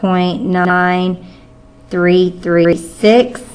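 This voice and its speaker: Against music in the background, a woman speaks at medium pitch with fairly even intonation. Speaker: math teacher. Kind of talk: tutorial.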